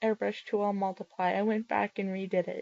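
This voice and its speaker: A woman talks at a moderate pace with music playing behind her. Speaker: digital art tutorial maker. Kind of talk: tutorial. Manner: halting, stumbling over words; casual.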